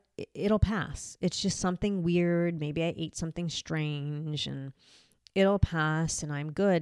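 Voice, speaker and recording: In an American accent, a woman talks fairly slowly at a fairly low pitch with ordinary pitch variation. The recording is very clean with a silent background and a dry, close sound with no echo. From New Jersey / New York. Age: 40s. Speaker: podcaster sharing illness experience. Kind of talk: personal monologue podcast.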